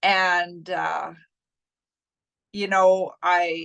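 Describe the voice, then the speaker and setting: With a Canadian Prairies accent, a woman speaks at a medium pitch. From Saskatchewan, Canada. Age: 60s. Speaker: coaching client. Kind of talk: testimonial interview.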